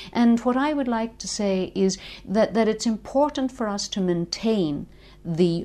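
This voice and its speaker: A woman with a strong Northern Irish accent, medium in pitch, dark and mellow in tone, at a fairly slow pace. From Northern Ireland. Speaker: linguistics lecturer. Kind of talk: interview.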